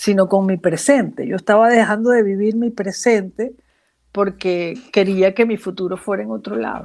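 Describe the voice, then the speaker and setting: A woman at medium pitch and a moderate pace, ordinary pitch variation, on a very clean recording with a silent background. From Venezuela, Zulia. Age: 50s. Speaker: psychologist. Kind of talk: interview. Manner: halting.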